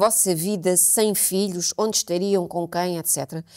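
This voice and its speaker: A woman at a fairly slow pace over a quiet background. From Portugal. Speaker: podcast co-host. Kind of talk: casual chat. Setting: studio. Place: studio. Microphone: lapel.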